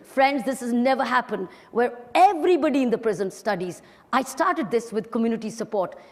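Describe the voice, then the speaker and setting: A woman with an Indian accent speaks at a fairly quick pace, her fairly high voice swinging very widely in pitch. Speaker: retired police officer, social activist. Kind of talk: motivational talk to an audience.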